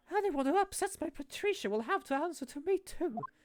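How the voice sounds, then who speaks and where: This put-on character voice is squeaky, with an extremely high pitch. The pace is fairly quick. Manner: tough, protective.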